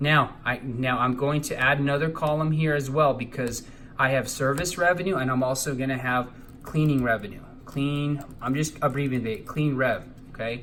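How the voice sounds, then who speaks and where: At a moderate pace, a man speaks with a medium pitch and fairly even intonation, and room echo is audible. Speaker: accounting teacher. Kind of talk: tutorial.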